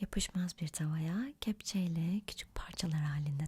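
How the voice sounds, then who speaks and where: A soft-spoken woman talks at a very slow pace. Her pitch is fairly low. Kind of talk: ASMR cooking recipe narration.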